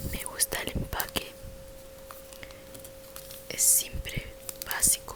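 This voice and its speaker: The speech is whispered very slowly, with long, frequent pauses. Noticeable background noise is present throughout. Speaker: ASMR content creator. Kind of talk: casual talk to camera, ASMR video. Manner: soft-spoken, ASMR-style product description.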